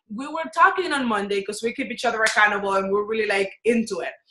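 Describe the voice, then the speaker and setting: A woman with a Dominican accent speaks at a moderate pace in an animated, bright, sharp tone. Her intonation is lively. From Dominican Republic. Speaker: business and life coach. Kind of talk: webinar teaching.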